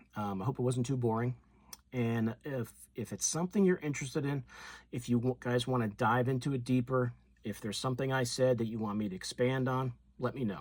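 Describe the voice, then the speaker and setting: Talking at a fairly quick pace, a man has an unremarkable speaking voice of medium pitch with ordinary pitch variation. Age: 60s. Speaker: fishing YouTuber. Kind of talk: casual talk to camera.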